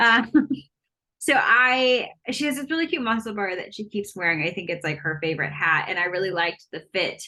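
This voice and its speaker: Loud and bright with a sharp edge, a woman speaks at a moderate pace with lively intonation. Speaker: knitting podcast co-host. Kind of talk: casual chat. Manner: animated.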